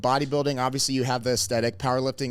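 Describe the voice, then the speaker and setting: A man talks at a medium pitch. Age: 20s. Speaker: pro wrestler and strength coach. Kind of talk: podcast interview. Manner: soft-spoken at times.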